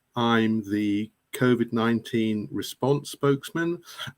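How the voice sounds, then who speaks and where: Here is a man with an English accent. His pitch varies in an ordinary way. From England. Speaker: political candidate. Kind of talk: introduction on live online chat.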